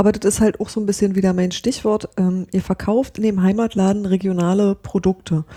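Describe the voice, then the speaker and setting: A woman speaks at a fairly quick pace and medium pitch, her tone dark and mellow. Her intonation is monotone and flat, and the sound is dry and close with no echo. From Brandenburg. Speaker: podcast host. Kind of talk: interview.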